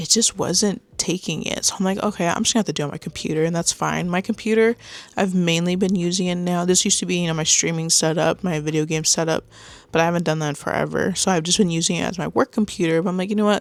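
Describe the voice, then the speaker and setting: A quiet woman's voice, fairly low-pitched, talking very fast with fairly even intonation. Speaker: beginner YouTuber. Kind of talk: casual vlog monologue. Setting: home computer setup, on camera. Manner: quiet and shy; mumbling at times.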